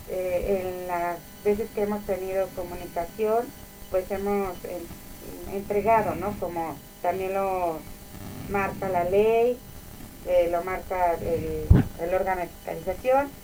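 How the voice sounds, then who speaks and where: Speaking at a very slow pace in a room with audible echo, a woman uses a medium pitch and fairly even intonation. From Mexico, Tlaxcala. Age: 30s. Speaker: mayor. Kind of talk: interview.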